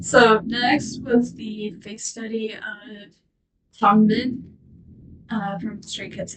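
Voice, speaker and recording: This woman talks at a very slow pace, her voice fairly high and somewhat breathy. Her intonation stays fairly even. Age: 20s. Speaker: art youtuber. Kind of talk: casual chat.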